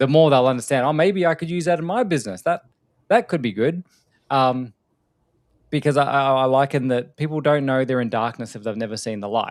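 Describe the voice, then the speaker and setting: In a very clean recording with a silent background, a man with an Australian accent speaks fairly quickly at a medium pitch with ordinary pitch variation. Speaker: podcast host, AI consultant. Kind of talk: casual chat. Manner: direct and casual.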